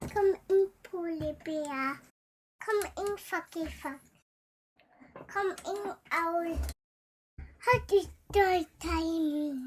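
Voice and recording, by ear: In a cartoonish character voice with extremely high pitch, the speaker goes at a very slow pace with long, frequent pauses.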